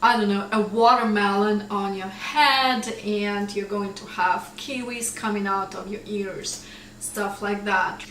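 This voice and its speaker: Speaking at a very slow pace yet with hardly any pauses, a woman with a Russian accent uses a medium pitch, fairly even intonation and big swings in loudness, with noticeable background noise and audible room echo. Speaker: English teacher. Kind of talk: tutorial. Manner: casual, conversational.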